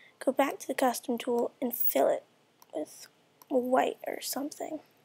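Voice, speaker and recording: The sound is dry and close, with no echo. A woman speaks quietly at a moderate pace. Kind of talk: casual screen-recorded software tutorial. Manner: quiet, hushed.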